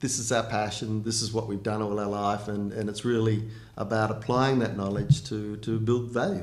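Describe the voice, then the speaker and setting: With an Australian accent, the speaker delivers a flat monotone at a moderate pace, with audible room echo. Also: man, fairly low pitch for a man. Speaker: mining company CEO. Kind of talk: interview. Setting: recorded video interview. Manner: halting, many fillers.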